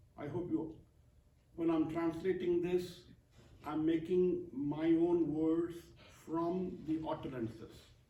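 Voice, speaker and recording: A man at a high pitch, very slow pace and fairly even intonation, with long, frequent pauses and audible room echo. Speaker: poet and translator. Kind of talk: poetry reading with commentary.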